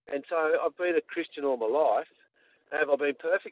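A man's fairly high voice with an Australian accent. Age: 60s. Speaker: sports chaplain. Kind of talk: casual interview. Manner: energetic.

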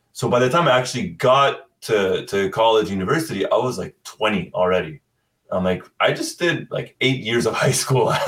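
In a Canadian accent, a man speaks at a moderate pace and medium pitch with lively intonation. His is a plain, everyday voice. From Canada, Ottawa. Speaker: football content creator. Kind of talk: casual chat.

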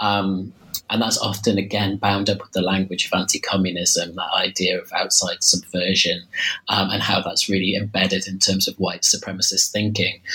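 A man speaks at an even, middling pace while clear background noise is heard behind him. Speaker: historian. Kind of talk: academic interview. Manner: hesitant, many fillers.

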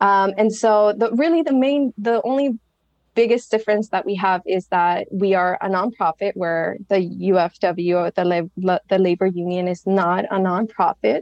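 Moderately paced speech from a woman with a normal speaking voice, a medium pitch and typical pitch movement. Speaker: nonprofit communications director. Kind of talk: interview conversation.

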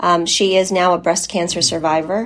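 At a medium pitch, the woman keeps her intonation fairly even. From US. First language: Polish. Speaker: patient advocate. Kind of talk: interview.

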